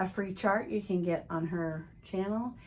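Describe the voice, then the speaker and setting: A woman in an American accent speaks with an unremarkable speaking voice at a moderate pace, with ordinary pitch variation. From Texas. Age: 60s. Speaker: craft video host. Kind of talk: casual show-and-tell vlog. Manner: conversational, with fillers.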